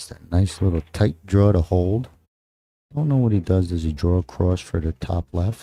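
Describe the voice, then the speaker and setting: Speaking in a strong New Jersey accent, a man talks at a moderate pace with a very deep, low pitch, a dark, mellow, somewhat breathy tone and ordinary pitch variation, the sound dry and close with no echo. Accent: heavy New Jersey. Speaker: pool commentator. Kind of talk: live commentary. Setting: commentary booth at live event. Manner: casual, conversational.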